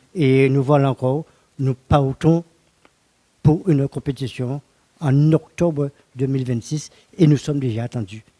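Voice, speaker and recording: A man speaks at a fairly slow pace, with long, frequent pauses and fairly even intonation. His voice sits fairly high in pitch with a dark, mellow tone, and the sound is dry and close with no echo. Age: 70s. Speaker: retired postal worker and bodybuilder. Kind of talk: interview. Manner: halting.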